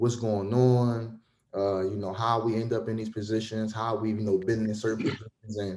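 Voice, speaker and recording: A man's dark, mellow voice, fairly low in pitch, at a fairly quick pace. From Philadelphia, US. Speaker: podcast host. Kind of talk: casual podcast chat.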